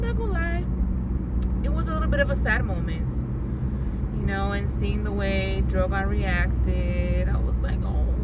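At a moderate pace, the voice comes through dry with no echo amid loud background noise. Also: woman. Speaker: vlogger. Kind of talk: casual vlog chat. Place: car. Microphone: phone near.

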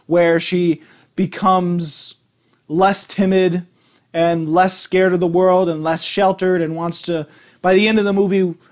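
A man's high-pitched voice with little pitch movement at a fairly slow pace

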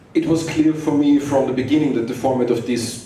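Lively intonation comes at a moderate pace. Light background noise and audible room echo are present. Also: man. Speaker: conference speaker. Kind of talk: conference talk. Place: hall.

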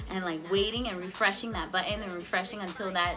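Over clear music in the background, a woman talks at a very fast pace. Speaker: cannabis vlogger. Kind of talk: casual vlog chat.

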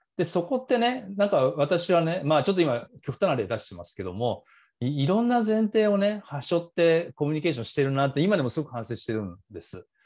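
A man with a high voice speaks at a fairly quick pace, barely pausing, over a quiet background. His pitch swings very widely, and his loudness rises and falls sharply. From Japan. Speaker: author and business school instructor; business school instructor. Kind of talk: seminar talk. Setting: video call. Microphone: earbuds.

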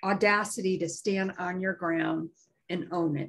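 A woman speaks in a normal speaking voice at a medium pitch, with fairly even intonation. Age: 50s. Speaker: live stream co-host. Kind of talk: casual chat. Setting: live stream. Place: home room. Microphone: video call.

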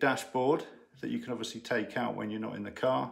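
Vocal fry runs through this man's speech. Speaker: ham radio hobbyist. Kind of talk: casual vlog chat. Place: home room.

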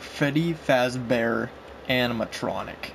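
Over noticeable background noise and audible room echo, a man talks at a very slow pace with ordinary pitch variation. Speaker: gaming youtuber. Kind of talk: gameplay commentary. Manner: halting, many fillers.

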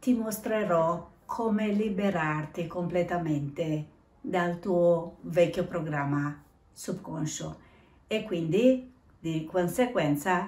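Very slowly and somewhat breathily, a woman speaks at a fairly low pitch with ordinary pitch variation, her voice carrying audible room echo. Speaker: self-help vlogger. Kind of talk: casual vlog talk about self-improvement. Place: home room. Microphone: phone near.

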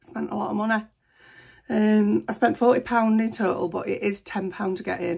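At a fairly slow pace, a woman speaks with a slightly mellow tone, vocal fry, a slightly husky edge and little pitch movement.

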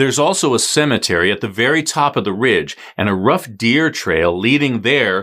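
Against a quiet background, a man speaks at a moderate pace with a bright, sharp, dramatic tone and lively intonation. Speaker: true crime podcast host. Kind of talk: true-crime narration, scripted recap. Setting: YouTube video podcast. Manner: dramatic, suspenseful storytelling; conversational, wry asides. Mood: serious, earnest. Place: studio.

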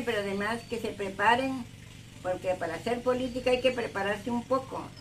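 Over light background noise, a woman talks at a fairly quick pace in a high pitch with ordinary pitch variation. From Veracruz, Mexico. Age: 80s+. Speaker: peasant farmer and political activist. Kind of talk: interview answer. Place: home room. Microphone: phone near.

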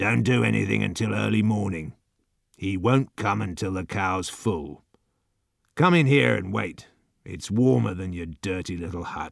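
A man puts on a character voice that is very deep, low and raspy. He speaks quietly, with very wide pitch swings. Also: moderate pace. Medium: read story. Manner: slow, quiet, cold.

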